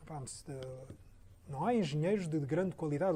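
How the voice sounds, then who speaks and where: A man speaks with a fairly high pitch and a dark, mellow tone at a moderate pace. His intonation is lively, and audible room echo surrounds the voice. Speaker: architect. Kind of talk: Q&A after a lecture. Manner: halting, many repetitions.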